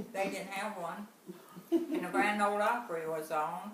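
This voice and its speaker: Noticeable background noise runs beneath a woman speaking with an American accent. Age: 80s+. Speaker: former farm worker. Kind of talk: interview answer.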